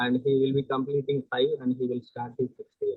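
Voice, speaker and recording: A soft-spoken man's medium-pitched voice at a moderate pace, monotone and flat in intonation. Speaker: parent. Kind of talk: Q&A question.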